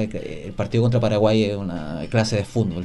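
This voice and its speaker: The man talks at a moderate pace with fairly low pitch and ordinary pitch variation. His tone is dark and mellow, and the room echo is audible. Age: 30s. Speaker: football journalist. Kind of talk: casual chat.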